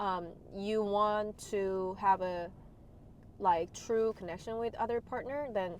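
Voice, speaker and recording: The voice is a woman's, pitched in the medium range. A non-native accent colors her speech. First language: not English. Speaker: podcast co-host. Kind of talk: casual chat.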